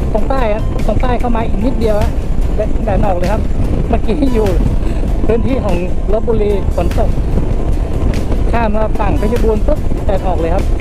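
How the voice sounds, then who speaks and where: A woman is speaking with a dry sound and no echo. Clear music plays in the background. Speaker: motorcycle rider vlogger. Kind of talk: casual vlog chat. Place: motorbike. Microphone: helmet.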